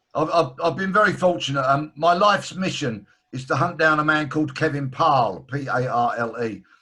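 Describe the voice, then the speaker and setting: Here a man speaks with a London accent and a bright, sharp tone. His pitch is fairly high, his pace fairly quick, and his pitch variation ordinary. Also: hardly any pauses. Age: 60s. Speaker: author and broadcaster, former detective. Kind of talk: video call interview. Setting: video call.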